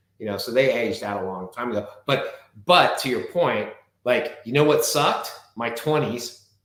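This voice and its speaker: At a moderate pace, a man speaks in a medium pitch with ordinary pitch variation, and audible room echo. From Southern California. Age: 50s. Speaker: wine expert and author. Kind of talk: casual chat.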